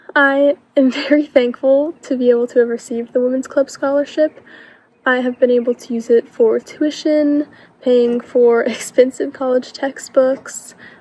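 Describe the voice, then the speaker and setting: A woman with an American accent talks at a moderate pace in a high voice with fairly even intonation. The sound is dry and close with no echo, though noticeable background noise comes through. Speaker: scholarship recipient, college student. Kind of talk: recorded testimonial.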